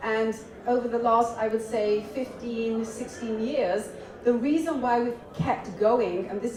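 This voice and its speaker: A woman with a British accent talks at a moderate pace in a fairly high pitch. Noticeable background noise and audible room echo surround her. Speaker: media company founder and panelist. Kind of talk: panel discussion. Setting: stage with audience.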